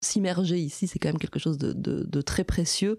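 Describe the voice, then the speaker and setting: The recording is very clean, its background silent. A woman talks in a dark, mellow tone. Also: dry, close sound with no echo. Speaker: animal sanctuary volunteer. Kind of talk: interview. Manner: loud.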